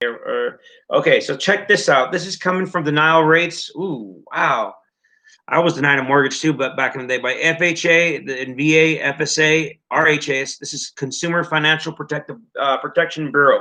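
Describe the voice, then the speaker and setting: In an American accent, a man speaks fairly quickly at a fairly high pitch, his tone bright, sharp and animated. His pitch variation is ordinary, and the background is quiet. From US, Appalachia. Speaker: video commentator. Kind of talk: casual commentary on charts. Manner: animated, profane and halting.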